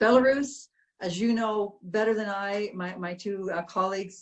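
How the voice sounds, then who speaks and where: A woman with a Canadian accent talks at medium pitch. Her voice is somewhat breathy and her intonation fairly even. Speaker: ambassador. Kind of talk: welcoming remarks at online panel. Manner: fast.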